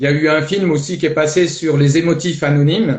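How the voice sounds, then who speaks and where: The man's pitch is fairly high, with ordinary variation. He talks at a moderate pace. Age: 60s. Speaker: life coach. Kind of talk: testimony. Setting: live video stream. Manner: hesitant, many fillers.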